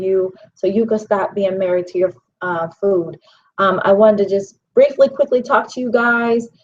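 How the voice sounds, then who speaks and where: With an American accent and a normal speaking voice, a woman talks at a moderate pace and medium pitch, her pitch varying in an ordinary way. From Pittsburgh, Pennsylvania, US. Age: 40s. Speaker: vegan chef and life coach. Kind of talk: personal testimony and book promotion. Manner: casual, many filler ums.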